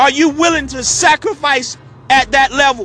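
A man's raised, projected voice sits at an extremely high pitch, its pitch rising and falling in an ordinary way against noticeable background noise. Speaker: motivational speaker. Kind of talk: motivational talk.

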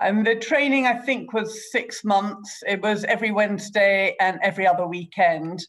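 A woman with an ordinary speaking voice, her fairly high pitch showing ordinary variation, at a moderate pace with hardly any pauses and very even loudness. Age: 50s. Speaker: politician. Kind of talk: interview.

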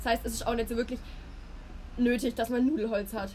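Over noticeable background noise, a woman talks very fast at a fairly high pitch. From Baden, Karlsruhe area. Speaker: podcast host. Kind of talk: casual chat. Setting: outdoors on a balcony. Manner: laughs often.

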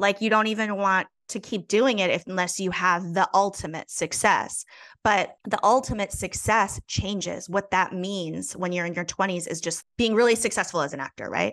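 Over a quiet background, a woman with a plain, everyday voice talks at medium pitch and a moderate pace with fairly even intonation. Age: 40s. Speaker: actor. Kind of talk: casual chat.

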